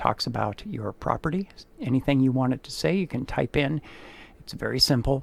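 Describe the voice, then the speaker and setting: With lively intonation and a moderate pace, this is an unremarkable speaking voice. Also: man. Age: 60s. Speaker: real estate photographer. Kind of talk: sales pitch. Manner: casual, conversational.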